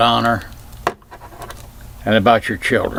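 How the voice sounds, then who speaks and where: Medium-pitched, a man talks at a moderate pace. Noticeable background noise is present. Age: 70s. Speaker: self-filmed commentator. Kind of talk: personal reflection monologue.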